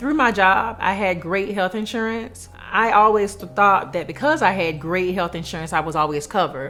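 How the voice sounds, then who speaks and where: A medium-pitched woman at a moderate pace with lively intonation and hardly any pauses, music in the background. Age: 30s. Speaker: cancer survivor giving insurance testimonial. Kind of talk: testimony.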